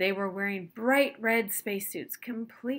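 Natural voice of someone reading.

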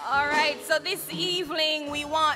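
A woman speaks in a raised, projected voice. Faint music plays in the background. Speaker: service host. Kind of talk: church service announcement and address. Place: church. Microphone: podium.

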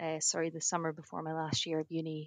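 A woman with a Scottish accent and fairly low pitch, in a dry, close sound with no echo. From Edinburgh, Scotland. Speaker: rural surveyor. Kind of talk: podcast interview answer.

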